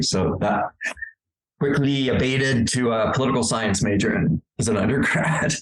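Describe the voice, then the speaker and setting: A man with an American accent speaks at a moderate pace in a medium pitch. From California. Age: 60s. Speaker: adaptive sports executive director and coach. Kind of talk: interview podcast.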